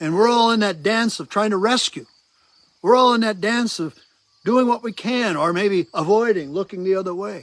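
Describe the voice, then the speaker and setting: At a moderate pace, a man talks with a high pitch. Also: ordinary pitch variation. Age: 70s. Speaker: pastor. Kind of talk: testimony.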